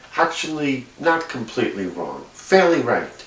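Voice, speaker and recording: In a room with audible echo and noticeable background noise, a man with a New York accent talks fairly slowly, with ordinary pitch variation. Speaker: video blogger. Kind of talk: casual monologue. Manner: halting, many fillers.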